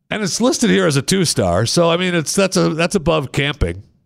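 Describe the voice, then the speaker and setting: On a very clean recording with a silent background, a man with a fairly high pitch and vocal fry talks at a moderate pace with very wide pitch swings. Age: 60s. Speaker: radio host. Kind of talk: casual chat. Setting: studio.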